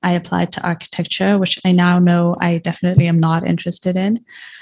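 A somewhat breathy woman with a fairly low pitch speaks at a very fast pace. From Botswana. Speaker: podcast host, graduate student. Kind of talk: scripted narration.

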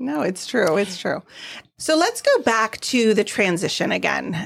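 A woman talks at a fairly slow pace in an unremarkable speaking voice. Her pitch sits in the medium range. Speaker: podcast co-host. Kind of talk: casual chat.

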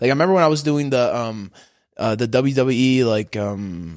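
A man speaks in a normal speaking voice at a medium pitch, with ordinary pitch variation and a moderate pace. The recording is very clean with a silent background. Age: 20s. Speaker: jiu-jitsu athlete. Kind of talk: casual chat.

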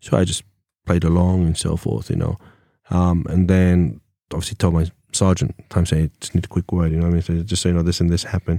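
Very fast and in a monotone, flat intonation, a man with an English accent speaks at a very deep, low pitch with a dark, mellow tone, the recording very clean with a silent background and a dry, close sound with no echo. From England. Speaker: former police officer. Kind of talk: casual interview chat. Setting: studio.

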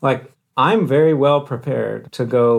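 A man with an ordinary speaking voice, fairly slow in pace, with ordinary pitch variation, on a very clean recording over a silent background. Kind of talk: casual chat.

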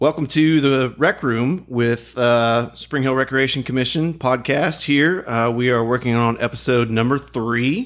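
Medium-pitched male speech at a fairly slow pace, with hardly any pauses, very even loudness and fairly even intonation, on a very clean recording against a silent background. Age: 40s. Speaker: recreation director and podcast host. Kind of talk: casual chat. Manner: halting, many fillers and repeats.

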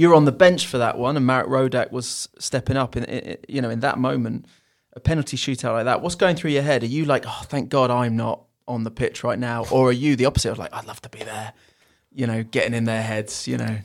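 Talking at a very fast pace, a man with an English accent comes through in a very clean recording with a silent background. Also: medium pitch for a man, ordinary pitch variation. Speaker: football club podcast host. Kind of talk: casual chat.

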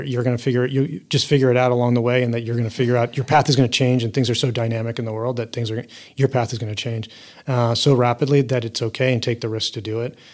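Talking at a very fast pace, a man with an American accent uses a medium pitch and monotone, flat intonation. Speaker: venture capital investor. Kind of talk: interview.

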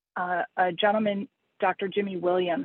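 A woman talks with an American accent. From US, Pittsburgh. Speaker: entrepreneur. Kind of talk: interview.

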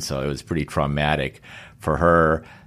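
A man talks with a very deep, low pitch and fairly even intonation. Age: 60s. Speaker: solar energy company CEO and older athlete. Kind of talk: interview. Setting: in his company office.

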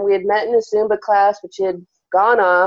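In an American accent, a normal speaking voice moves at a moderate pace. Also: woman. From Arizona, small mining town. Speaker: career coach. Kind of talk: casual interview.

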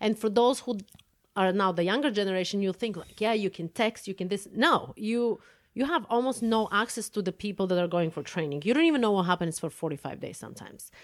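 A woman with a Bulgarian accent, medium in pitch, very fast and lively in intonation, on a very clean recording with a silent background. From Bulgaria (Plovdiv). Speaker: podcast host, fencing coach. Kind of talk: casual chat.

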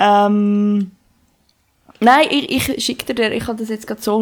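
The pace is fairly slow. A woman's voice rests at a fairly high pitch. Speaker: podcast co-host. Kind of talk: casual chat.

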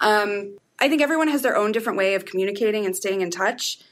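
Fairly quick and fairly high-pitched, a woman speaks in an ordinary speaking voice with ordinary pitch variation. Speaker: freelance writer. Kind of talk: casual chat. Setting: office.

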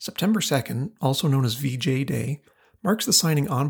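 In a very clean recording with a silent background, a man talks at a fairly quick pace. His medium-pitched voice is somewhat breathy, with lively intonation. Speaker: podcast host. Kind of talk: history documentary narration. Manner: measured, formal, solemn; steady, scripted delivery.

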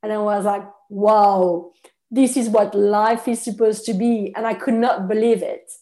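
Her dark, mellow voice has a French accent and a fairly high pitch. The woman keeps a moderate pace with fairly even intonation. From France. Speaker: nutritionist. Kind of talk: interview.

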